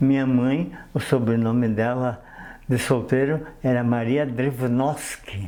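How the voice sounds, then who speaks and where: There is audible room echo around a man with a medium pitch. His intonation is fairly even and his loudness very even. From southern Brazil (Marcílio Dias, Santa Catarina). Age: 80s+. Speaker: retired railway worker. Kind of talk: TV interview. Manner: halting.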